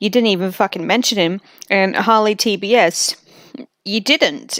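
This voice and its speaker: In an Australian accent, a woman is heard in a very clean recording with a silent background and a dry, close sound with no echo. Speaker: streamer reacting to videos. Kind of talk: live stream reaction commentary.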